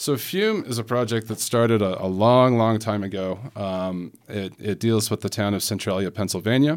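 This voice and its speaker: In a very clean recording with a silent background, a man with an American accent and an unremarkable speaking voice talks at a moderate pace with a fairly low pitch, ordinary pitch variation and hardly any pauses. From Salt Lake City, Utah. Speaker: poet. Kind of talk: interview.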